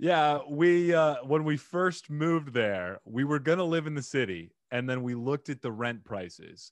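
Speaking at a fairly slow pace, a man with an American accent uses very wide pitch swings. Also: quiet background. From Arizona. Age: 30s. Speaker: podcast host and digital marketer. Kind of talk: casual interview. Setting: video call. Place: home room. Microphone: studio mic.

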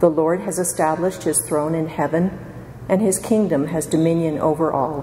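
A woman's fairly low voice with ordinary pitch variation, audible room echo and light background noise. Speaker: lay reader. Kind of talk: liturgical reading. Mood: calm, reverent. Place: church. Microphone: podium.

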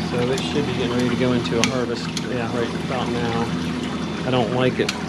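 Loud background noise surrounds a man speaking at a moderate speed. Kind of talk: tutorial. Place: workshop. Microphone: phone near.

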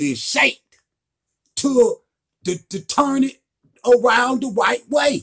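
This man's voice sits at an extremely high pitch with big pitch swings, and he speaks at a slow pace.

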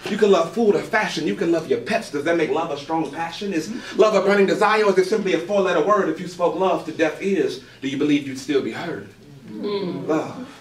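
A man with a high pitch speaks at a fairly quick pace. Audible room echo and light background noise surround his voice. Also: ordinary pitch variation. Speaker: spoken word poet. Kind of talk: spoken word poetry performance. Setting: live open mic venue. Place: stage. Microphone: camera far.

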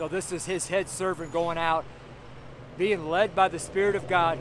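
A loud man with a high pitch speaks at a moderate pace with ordinary pitch variation, the sound dry with no echo despite noticeable background noise. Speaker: street preacher. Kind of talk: sermon preached outdoors, preacher in full flow. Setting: outdoors on a street corner. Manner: fervent, animated, exclaiming with laughs; loud, raised voice over street noise. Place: street. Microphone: phone near.

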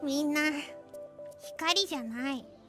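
A put-on character voice speaks over clear background music. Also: woman. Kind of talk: comic overacting, chuunibyou villain speech. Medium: virtual streamer. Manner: grandiose, boastful, dramatic.

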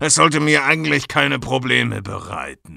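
The speaker is a man using a put-on character voice. He talks at a medium pitch. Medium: audio drama. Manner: casual, lazy, mocking.

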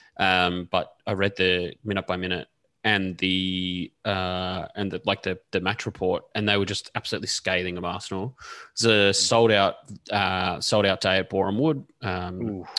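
With an Australian accent, a man speaks at a moderate pace in a very deep, low pitch and a bright, sharp tone, his intonation fairly even, on a very clean recording with a silent background and a dry, close sound with no echo. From Canberra, Australia. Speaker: women's football podcast panelist. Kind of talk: casual chat.

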